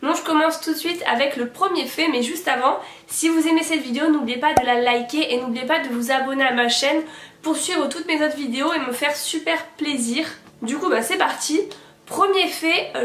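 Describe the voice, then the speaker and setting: A woman speaks at a moderate pace with ordinary pitch variation. There is audible room echo and noticeable background noise. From southern France, Montpellier. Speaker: YouTuber. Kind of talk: casual vlog monologue.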